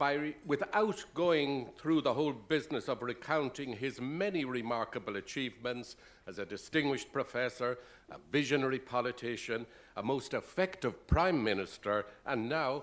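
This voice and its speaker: A man with an Irish accent speaks in a medium pitch at a moderate pace, his intonation lively. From Ireland. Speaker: university president. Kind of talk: formal speech introduction. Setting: dinner event with audience.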